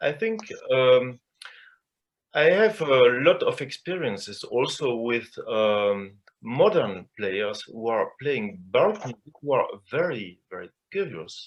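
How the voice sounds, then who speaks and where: A man's medium-pitched voice in a French accent, very slow, with very wide pitch swings. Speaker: cellist and chamber music teacher. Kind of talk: panel discussion. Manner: halting.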